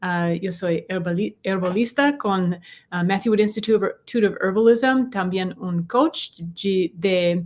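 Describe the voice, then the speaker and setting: Speaking with a non-native accent, a woman keeps a medium pitch, ordinary pitch variation and a moderate pace. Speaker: herbalist and natural health coach. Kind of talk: bilingual podcast chat. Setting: live stream. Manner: halting in Spanish.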